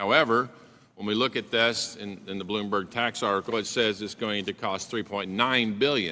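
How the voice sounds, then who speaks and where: Fairly low male pitch, a bright, sharp tone and an Oklahoma accent from a man at a moderate pace with ordinary pitch variation. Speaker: congressman. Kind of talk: committee hearing questioning. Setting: congressional committee hearing.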